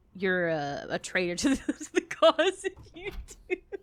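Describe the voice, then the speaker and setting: Very wide pitch swings across a woman's voice of medium pitch. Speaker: gaming youtuber. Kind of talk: let's play commentary.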